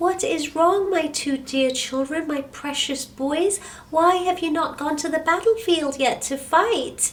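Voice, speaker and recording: A squeaky put-on character voice with ordinary pitch variation moves at a fairly slow pace with hardly any pauses, over clear background noise. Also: woman, extremely high pitch for a woman. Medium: read story. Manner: tender, earnest.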